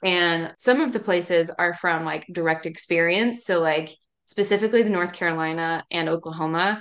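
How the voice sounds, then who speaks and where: Against a quiet background, a woman speaks with an American accent. Her pitch is fairly low, with ordinary pitch variation. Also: moderate pace. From East Tennessee, Appalachia. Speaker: novelist. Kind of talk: casual interview.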